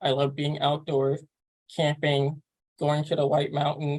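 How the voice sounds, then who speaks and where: A man talks in a fairly high pitch. His voice is somewhat breathy. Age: 20s. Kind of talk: interview. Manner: halting, many fillers.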